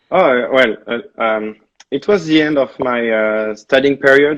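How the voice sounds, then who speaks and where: A man with a French accent speaks with ordinary pitch variation. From France. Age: 30s. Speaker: travel blogger. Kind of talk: interview.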